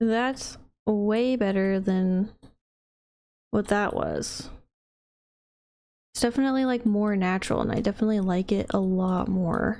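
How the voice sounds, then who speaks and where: This woman's voice is quiet and dark, mellow in tone, pitched in the middle range. She speaks at a fairly slow pace, with long, frequent pauses. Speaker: gaming youtuber. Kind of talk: casual gameplay commentary. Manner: quiet, focused; animated.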